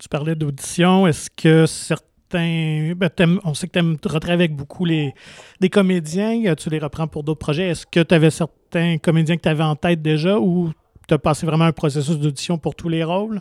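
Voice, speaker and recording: In a very clean recording with a silent background and a dry, close sound with no echo, a normal speaking voice talks at a moderate pace with fairly even intonation. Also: man, fairly high pitch for a man. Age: 40s. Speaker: podcast host. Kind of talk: interview.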